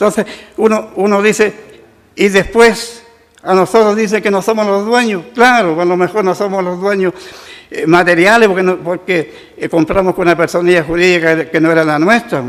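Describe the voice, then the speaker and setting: Noticeable background noise accompanies a man with a high pitch. He talks at a moderate pace with ordinary pitch variation. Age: 80s+. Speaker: retired railway worker. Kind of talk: public testimony at council session. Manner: halting.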